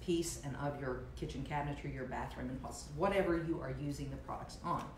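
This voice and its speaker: A woman speaks at a fairly quick pace. Audible room echo and light background noise are present. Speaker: furniture painting instructor. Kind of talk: tutorial. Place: kitchen. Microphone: camera far.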